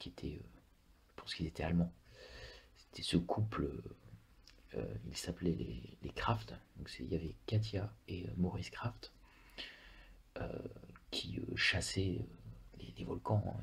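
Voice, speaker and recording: A man talks at a very slow pace with a very deep, low pitch, vocal fry, and very wide pitch swings. His loudness swings a lot, and he takes long, frequent pauses. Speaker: ASMR creator. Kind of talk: ASMR travel talk about a country. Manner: whispered; hesitant, many filler words.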